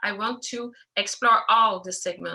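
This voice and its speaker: A woman speaks in a French accent at a fairly high pitch. Her intonation stays monotone and flat. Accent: non-native English, French. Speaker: filmmaker, animator. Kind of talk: Q&A interview. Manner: halting, many hesitations.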